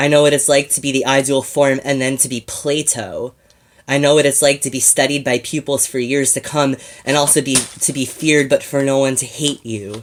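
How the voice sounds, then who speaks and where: At a fairly quick pace, a man talks in a fairly high pitch with monotone, flat intonation. The recording is very clean, with a silent background. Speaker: slam poet. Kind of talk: slam poetry performance.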